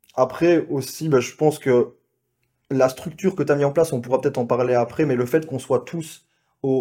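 In a very clean recording with a silent background, a man talks at a moderate pace with a medium pitch, a dark, mellow tone and ordinary pitch variation. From Belgium. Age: 20s. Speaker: sales closer, business associate. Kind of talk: casual chat.

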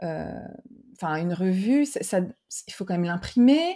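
In a very clean recording with a silent background, a woman's dark, mellow tone carries lively intonation. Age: 40s. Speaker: podcast host and brand consultant. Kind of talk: interview conversation. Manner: casual, with fillers.

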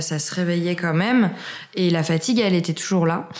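The speech keeps a moderate pace and fairly even intonation. Audible room echo and noticeable background noise are present. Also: woman. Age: 20s. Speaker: author on natural health and Crohn's disease. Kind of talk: interview. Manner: hesitant, many fillers.

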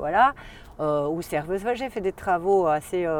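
A woman speaks at a moderate pace. Her fairly low voice carries lively intonation. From Valais, Switzerland. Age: 40s. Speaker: wine expert. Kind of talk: casual chat. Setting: outdoors. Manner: animated; halting.

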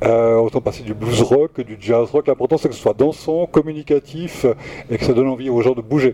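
With fairly even intonation at a moderate pace, a man of medium pitch speaks in a dry, close sound with no echo, though noticeable background noise is present. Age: 60s. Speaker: record shop manager. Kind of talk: radio interview. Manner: halting.

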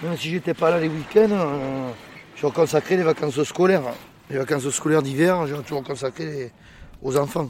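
Noticeable background noise sits behind a man speaking at a moderate pace with long, frequent pauses. His pitch is fairly high, with ordinary variation. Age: 50s. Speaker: oyster farmer. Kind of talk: interview.

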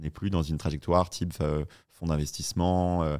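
On a very clean recording with a silent background, a man speaks in a very deep, low voice. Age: 30s. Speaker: startup founder. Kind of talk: interview.

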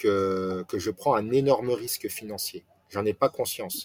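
A man talks at a fairly slow pace. The recording is very clean and silent behind him, with a dry, close sound and no echo. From France, Nancy area. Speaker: restaurant franchise owner. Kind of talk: interview. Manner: halting.

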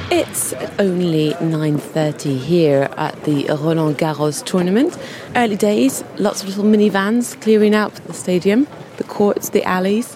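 A woman speaks fairly slowly and with lively intonation, noticeable background noise running beneath her. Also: medium pitch for a woman. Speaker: podcast host and on-site reporter. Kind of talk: on-location reporting and vox-pop interviews. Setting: outdoors at tennis tournament grounds.

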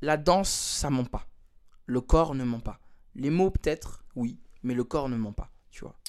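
Long, frequent pauses break up a man's fairly slow speech, which has a medium pitch, ordinary pitch variation, and big swings in loudness. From Switzerland, Lausanne. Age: 20s. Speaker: dancer and beatmaker. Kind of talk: casual interview. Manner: hesitant, many fillers and repetitions.

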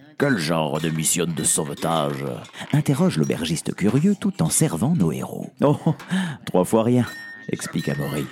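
A man's fairly low voice takes on a playful, animated tone with very wide pitch swings. Noticeable background noise runs underneath. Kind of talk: fairy-tale audio drama narration. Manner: animated, theatrical, switching between character voices; exaggerated, playful, with laughs.

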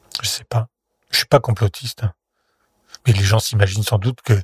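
A man's somewhat breathy voice at a medium pitch and moderate pace, dry and close with no echo. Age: 50s. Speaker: former political aide and member of European Parliament. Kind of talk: interview testimony. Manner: halting.

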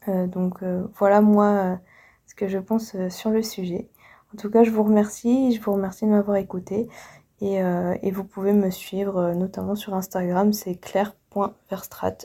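Her voice has a dark, mellow tone at a medium pitch, delivered at a fairly slow pace. The woman's intonation is monotone and flat, while her loudness swings widely. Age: 20s. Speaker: museum guide. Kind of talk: recorded personal message. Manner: halting, many restarts.

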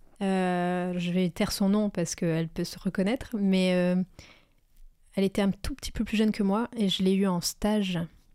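A woman's medium-pitched, dark, mellow voice with fairly even intonation and a dry, close sound with no echo, on a very clean recording with a silent background. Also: moderate pace. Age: 30s. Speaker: entrepreneur and coach for freelancers. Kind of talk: casual interview chat.

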